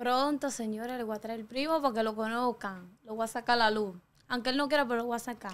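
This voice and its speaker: A woman talks at a very fast pace. Her pitch is fairly high and her intonation fairly even. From Dominican Republic, La Caleta near Boca Chica; Dominican Republic. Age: young. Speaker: TikToker; interview guest. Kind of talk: interview. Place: studio. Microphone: studio mic.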